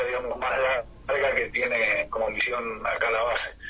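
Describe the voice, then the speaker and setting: There is noticeable background noise. Through it, a man talks at a fairly slow pace. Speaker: army officer at Antarctic base. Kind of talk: radio interview. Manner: halting, many fillers.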